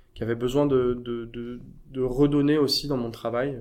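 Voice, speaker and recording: There is audible room echo as a man speaks at a moderate pace with a medium pitch. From France. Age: 30s. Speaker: burnout survivor. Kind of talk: interview testimony. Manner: halting.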